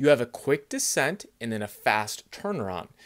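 A man's voice with very wide pitch swings against a quiet background. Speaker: fitness coach. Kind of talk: tutorial. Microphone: phone near.

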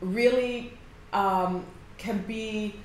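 With audible room echo and light background noise, a woman talks in fairly even intonation. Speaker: mindset coach. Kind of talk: direct-to-camera coaching talk. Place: office. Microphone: phone near.

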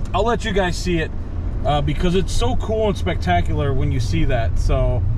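Moderate pace, dry sound with no echo, and noticeable background noise. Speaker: driver vlogger. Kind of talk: casual vlog chat. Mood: relaxed, admiring sunset. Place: car. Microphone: phone near.

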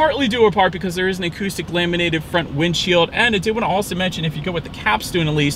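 Very fast and with hardly any pauses, a man talks with ordinary pitch variation, the sound dry with no echo over noticeable background noise. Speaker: car reviewer. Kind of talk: car review commentary. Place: car. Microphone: camera far.

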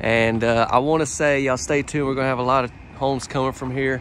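There is light background noise as a man talks at a fairly quick pace in a dry sound with no echo. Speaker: presenter. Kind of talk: casual vlog tour commentary. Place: street. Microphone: phone near.

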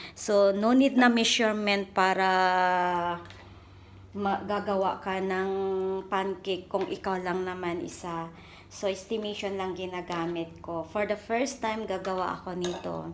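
Speaking in a Philippine accent at a fairly slow pace, a woman keeps fairly even intonation over light background noise. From Philippines. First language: Cebuano (speaking Tagalog). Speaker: vlogger, overseas worker; vlogger. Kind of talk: casual cooking vlog. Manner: casual, chatty. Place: kitchen. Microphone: phone near.

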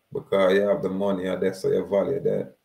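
This man speaks with a Jamaican accent, using a fairly low pitch, a dark, mellow tone and ordinary pitch variation. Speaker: activist. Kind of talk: monologue lecture with legal readings. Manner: exhortative.

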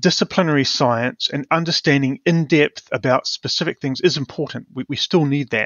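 A man with a New Zealand accent and fairly high pitch talks with hardly any pauses and ordinary pitch variation. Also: moderate pace. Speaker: professor of community resilience. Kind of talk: interview.

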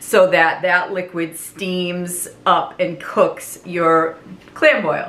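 Speaking very slowly, a woman lets her pitch vary in an ordinary way. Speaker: home cooking vlogger. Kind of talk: casual vlog chat. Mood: warm nostalgic. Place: kitchen. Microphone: camera far.

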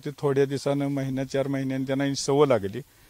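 A man speaks, captured with a dry sound that has no echo. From Maharashtra, Sangli district (Tasgaon); Maharashtra. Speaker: farmer. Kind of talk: interview testimony. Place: farm.

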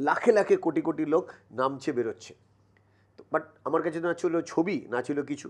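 Against a quiet background, a man talks in a fairly high voice. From West Bengal, Kanchrapara; West Bengal. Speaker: mental toughness trainer; podcast guest, mental toughness trainer. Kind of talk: motivational interview. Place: studio. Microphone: lapel.

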